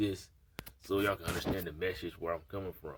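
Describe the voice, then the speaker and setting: Fairly quick and somewhat breathy, a man talks at a very deep, low pitch. His intonation stays fairly even. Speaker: vlogger. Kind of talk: casual monologue vlog. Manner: halting, stuttering.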